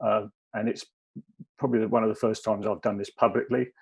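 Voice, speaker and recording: In a southern English accent, a man talks at a medium pitch with monotone, flat intonation. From southern England (Kent). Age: 60s. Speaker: former police officer, wellbeing consultant. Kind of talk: personal talk at webinar. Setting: video call webinar. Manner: hesitant.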